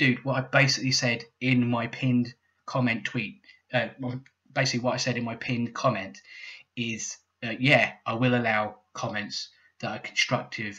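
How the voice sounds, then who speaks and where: With a British accent, a man speaks at medium pitch, his tone bright and sharp and his intonation fairly even. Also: moderate pace. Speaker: YouTube commentator. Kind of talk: casual commentary reading comments. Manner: casual with many fillers.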